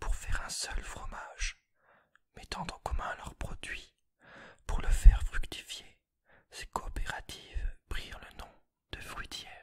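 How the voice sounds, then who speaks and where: Someone whispers at a very slow pace. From Jura, Franche-Comté, France. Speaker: ASMR creator. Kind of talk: reading aloud; ASMR whispered talk. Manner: whispering; slow, soft-spoken.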